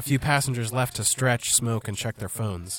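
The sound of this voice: The clip is an unforced reading voice.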